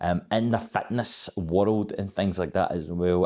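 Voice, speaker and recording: Here a man talks at a fairly low pitch with fairly even intonation. The recording is very clean, with a silent background. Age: 30s. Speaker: fitness vlogger. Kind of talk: casual vlog monologue. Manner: hesitant, many fillers and restarts.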